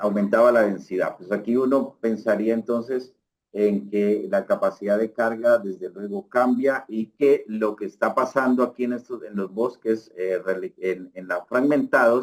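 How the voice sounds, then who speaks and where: Here a man talks in a normal speaking voice at medium pitch. His pitch variation is ordinary, and he leaves hardly any pauses. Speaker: researcher. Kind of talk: lecture. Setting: online lecture.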